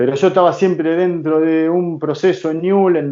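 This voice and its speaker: A man with an Argentine accent talks in a fairly high voice. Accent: Rioplatense Argentine Spanish. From Argentina, Rosario. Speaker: football coach and former player. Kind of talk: interview.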